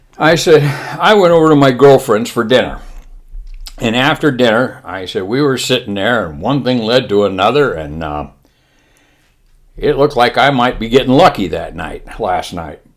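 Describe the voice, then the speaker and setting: A man with a medium pitch and vocal fry speaks at a moderate pace, using very wide pitch swings and long, frequent pauses. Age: old. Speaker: storyteller. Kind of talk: humorous anecdote.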